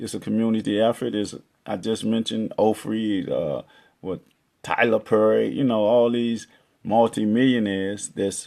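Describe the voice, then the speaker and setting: Here a man talks at a moderate pace with a medium pitch. His intonation stays fairly even. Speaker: poet, chess-metaphor motivational speaker. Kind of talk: motivational community talk to camera.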